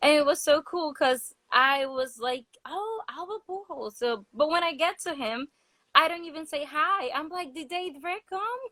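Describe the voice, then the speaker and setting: A woman with a Spanish accent, extremely high in pitch, her raised, projected voice at a moderate pace, with lively intonation and big swings in loudness. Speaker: sports interviewer. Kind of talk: casual interview. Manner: animated.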